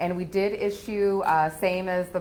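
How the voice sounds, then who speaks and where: A woman speaks loudly at a fairly low pitch and moderate pace, with ordinary pitch variation and audible room echo. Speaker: auditor. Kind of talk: presentation to city council. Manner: hesitant, many fillers.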